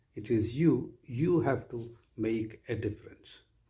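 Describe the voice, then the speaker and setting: A man's medium-pitched voice, dark and mellow in tone and somewhat breathy. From Kerala, South India. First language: Malayalam. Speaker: university vice chancellor. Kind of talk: orientation speech. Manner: formal.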